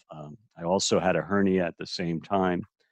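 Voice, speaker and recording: Against a quiet background, a man with a very deep, low voice speaks with fairly even intonation in a dry, close sound with no echo. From New England. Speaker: prostate cancer survivor. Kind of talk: interview. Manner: halting, many fillers.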